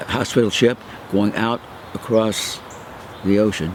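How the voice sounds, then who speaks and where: Against noticeable background noise, a man speaks at a fairly low pitch and a moderate pace with fairly even intonation. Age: 80s+. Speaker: war veteran. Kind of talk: oral history interview. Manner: halting.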